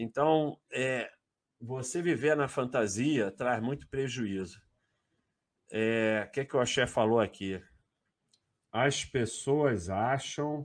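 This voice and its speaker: A man speaks at a very slow pace with long, frequent pauses. The background is quiet. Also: medium pitch for a man, ordinary pitch variation. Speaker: finance livestream host. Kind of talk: casual livestream chat. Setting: live stream.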